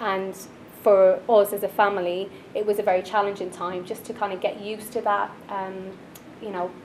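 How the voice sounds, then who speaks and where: A woman in an Irish accent at medium pitch and moderate pace, with monotone, flat intonation, big swings in loudness, audible room echo and noticeable background noise. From Ireland, Dublin. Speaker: finance manager. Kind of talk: personal story talk. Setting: stage at networking event.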